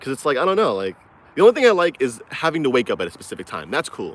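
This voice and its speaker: A man's voice carries vocal fry. His pitch swings very widely. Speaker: crypto YouTuber. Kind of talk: casual livestream chat. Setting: outdoors in a forest, walking. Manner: fast; mumbled, poorly enunciated.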